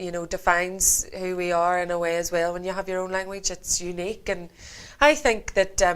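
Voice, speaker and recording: With a Northern Irish accent, a woman speaks at a moderate pace in a fairly low pitch. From Northern Ireland, County Antrim. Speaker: singer. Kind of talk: interview.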